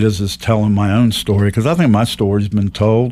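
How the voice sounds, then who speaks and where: Speaking with an American accent, a man with a fairly low pitch uses fairly even intonation in a plain, everyday voice. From Ohio and West Virginia, railroad family. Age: 60s. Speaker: local social media page creator. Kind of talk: podcast interview. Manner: conversational, repeats words.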